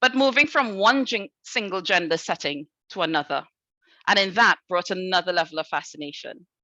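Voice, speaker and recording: Speaking at a fairly quick pace with a Trinidadian accent, a woman of medium pitch uses lively intonation in a dry, close sound with no echo and a quiet background. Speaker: head teacher. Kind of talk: conference talk. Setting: video call from school.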